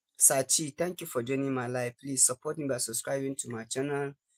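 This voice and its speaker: With a Nigerian accent, a man speaks at medium pitch and a moderate pace in a monotone, flat way, the sound dry and close with no echo. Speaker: livestreamer. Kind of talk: casual live stream chat. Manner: repetitive.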